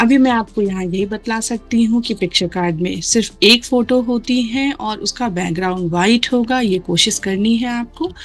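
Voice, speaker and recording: A woman talks with hardly any pauses in a normal speaking voice. Her pitch is fairly high, with ordinary pitch variation. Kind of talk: tutorial.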